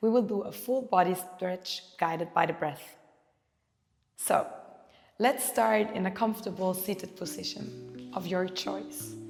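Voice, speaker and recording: At a fairly slow pace with long, frequent pauses, the speaker's calm tone carries lively intonation while music plays in the background. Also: woman, medium pitch for a woman. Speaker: yoga teacher. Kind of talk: guided yoga class instruction. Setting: yoga studio with handpan music. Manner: calm, guiding.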